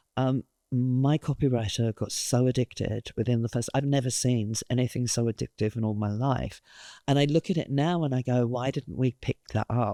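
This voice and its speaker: Someone with a British accent speaks at a moderate pace in a very clean recording with a silent background. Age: 60s. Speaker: creative director. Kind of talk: interview.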